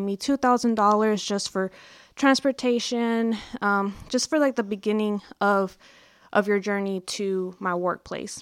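A woman with a Texan accent speaks at a moderate pace and medium pitch, the sound dry and close with no echo, on a very clean recording with a silent background. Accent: Texan American. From Dallas area, Texas. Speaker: human trafficking victim advocate. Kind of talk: interview.

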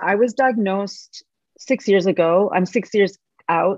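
A woman with a plain, everyday voice talks at a fairly slow pace with ordinary pitch variation, the sound dry and close with no echo over a quiet background. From Canada. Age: 40s. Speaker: medical tattoo specialist, cancer survivor. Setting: video call.

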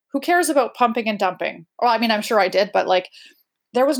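In a very clean recording with a silent background, a woman speaks at a fairly quick pace. Her voice has vocal fry. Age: 40s. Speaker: recovery guest sharing drinking story. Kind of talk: interview testimony.

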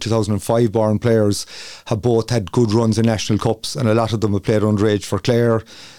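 A man with an Irish accent speaks at medium pitch in a dark, mellow tone. His intonation is monotone and flat, on a very clean recording with a silent background. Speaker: football manager. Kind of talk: radio interview.

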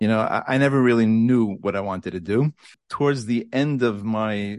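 At a moderate pace, a man talks with ordinary pitch variation against a quiet background. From Borough Park, Brooklyn, New York. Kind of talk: interview.

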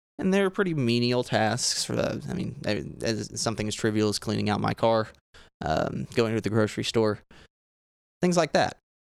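A man's medium-pitched voice swings very widely in pitch while holding a moderate pace. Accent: Southern US. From Arkansas. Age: 20s. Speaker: cannabis industry worker. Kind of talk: casual chat. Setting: outdoors.

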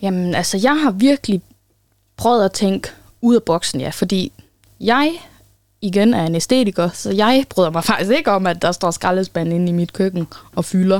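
A woman of medium pitch talks at a moderate pace with lively intonation and long, frequent pauses, in a dry, close, very clean recording with a silent background and no echo. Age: 20s. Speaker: newly trained pedagogue. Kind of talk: casual interview. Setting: studio.

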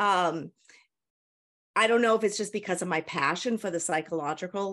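Against a quiet background, a woman is speaking. Her pitch variation is ordinary. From New Hampshire, US. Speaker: author. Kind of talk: interview. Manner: hesitant, frequent ums.

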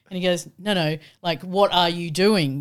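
Recorded very cleanly against a silent background, a woman with an Australian accent speaks at a moderate pace and a fairly low pitch. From rural Australia. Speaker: entrepreneur. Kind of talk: interview conversation.

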